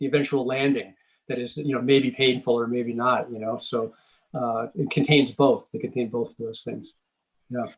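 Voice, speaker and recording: A man speaks with an American accent at a medium pitch. His pace is moderate and his intonation fairly even. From Massachusetts (Scituate, near Boston). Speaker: author. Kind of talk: author talk conversation. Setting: library event with moderator. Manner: halting, many false starts.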